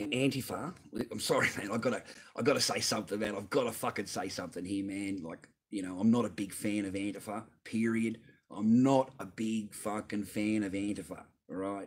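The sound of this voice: Speaking at a fairly quick pace, a man has a fairly low pitch, a slightly husky edge and ordinary pitch variation.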